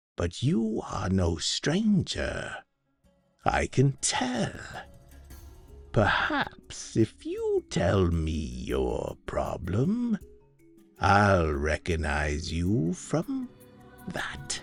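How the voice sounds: A man's hissing, fairly low put-on character voice at a very slow pace, with long, frequent pauses and faint music in the background.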